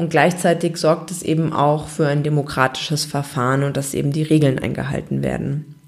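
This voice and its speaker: A woman with a very deep, low pitch and monotone, flat intonation, hardly any pauses, amid noticeable background noise. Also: moderate pace. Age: 20s. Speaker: podcast host. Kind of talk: solo podcast monologue.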